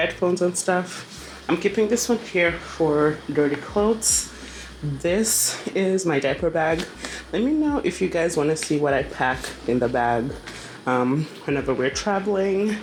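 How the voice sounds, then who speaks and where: A woman speaks at a fairly slow pace with a fairly low pitch and lively intonation. Her loudness stays very even, and noticeable background noise is present. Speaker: travel vlogger. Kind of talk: casual vlog narration. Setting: hotel room. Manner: hesitant with fillers.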